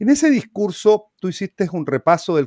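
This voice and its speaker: A man speaks with very wide pitch swings. The sound is dry with no echo and the background is quiet. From Chile. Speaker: talk show host. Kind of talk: interview. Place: home room. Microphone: webcam.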